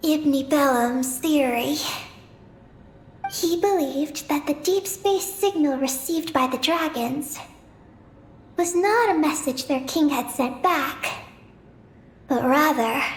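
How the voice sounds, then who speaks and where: A put-on character voice with a high pitch moves at a fairly slow pace. Long, frequent pauses break it up. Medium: video game. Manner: calm, even, matter-of-fact.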